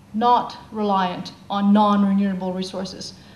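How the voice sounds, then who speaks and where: Over noticeable background noise, a woman of medium pitch speaks at a fairly slow pace with monotone, flat intonation. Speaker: social scientist giving a talk. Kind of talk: conference talk.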